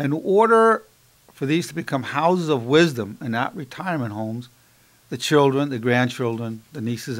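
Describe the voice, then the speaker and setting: The voice belongs to a man. It moves with lively intonation. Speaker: lecturer. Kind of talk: lecture. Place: studio. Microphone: studio mic.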